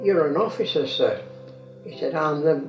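A man speaks with audible room echo and faint music in the background. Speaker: grandfather. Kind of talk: interview answer. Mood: amused, reminiscing. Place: home room.

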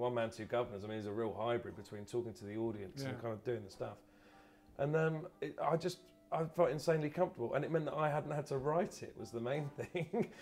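A man at a very fast pace with faint music in the background. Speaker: comedian, actor guest. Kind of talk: interview answer. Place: bar.

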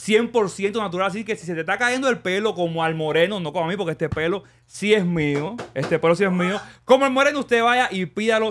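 Talking at a fairly quick pace with hardly any pauses, a man uses a high pitch. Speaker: podcast host. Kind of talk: sponsor read in casual podcast chat. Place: studio. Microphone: studio mic.

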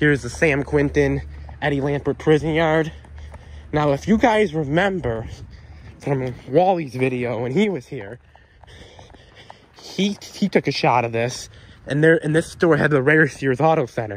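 A man at a moderate pace, with long, frequent pauses, ordinary pitch variation and a dry sound with no echo. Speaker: urban explorer vlogger. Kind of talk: casual vlog commentary. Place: street. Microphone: phone near.

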